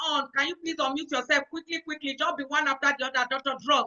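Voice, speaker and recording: In a Nigerian accent, a woman speaks at a high pitch with fairly even intonation. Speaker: event host. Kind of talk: online event hosting.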